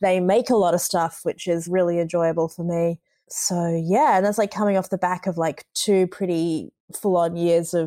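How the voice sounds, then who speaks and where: A woman with an Australian accent and a fairly low, dark, mellow voice, fairly even intonation, a moderate pace, and a very clean recording with a silent background. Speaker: commercial creative. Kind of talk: casual chat.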